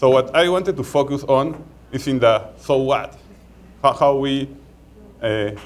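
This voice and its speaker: With a Peruvian accent, a man speaks fairly slowly in a fairly high pitch, leaving long, frequent pauses. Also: ordinary pitch variation. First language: Spanish. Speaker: market research executive. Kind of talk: conference talk. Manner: halting, many repetitions.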